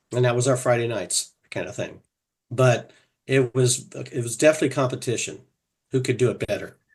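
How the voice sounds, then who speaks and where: A man with an American accent and a medium pitch talks at a fairly quick pace, somewhat breathy, with fairly even intonation and long, frequent pauses. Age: 60s. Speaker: fraternal organization officer. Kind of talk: interview.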